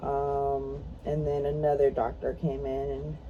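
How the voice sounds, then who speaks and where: A woman talks at a fairly slow pace. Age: 20s. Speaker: mother. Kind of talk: casual talk to camera.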